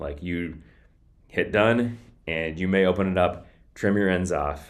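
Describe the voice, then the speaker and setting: Very deep, low male voice with audible room echo. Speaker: podcasting vlogger. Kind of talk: casual tutorial vlog. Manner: occasional stuttering and filler words; casual, conversational.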